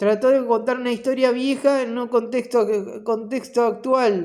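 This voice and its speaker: This man's voice is extremely high-pitched. He talks at a moderate pace with fairly even intonation. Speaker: video blogger. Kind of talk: casual monologue. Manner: halting.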